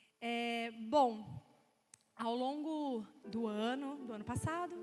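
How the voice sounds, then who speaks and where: A woman's fairly high voice with ordinary pitch variation, in audible room echo. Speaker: preacher. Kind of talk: sermon.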